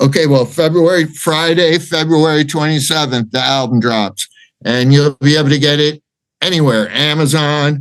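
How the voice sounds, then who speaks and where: An unremarkable speaking voice of a man with an American accent, fairly high in pitch, at a moderate pace, with ordinary pitch variation and very even loudness. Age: 60s. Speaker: rock singer. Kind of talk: interview.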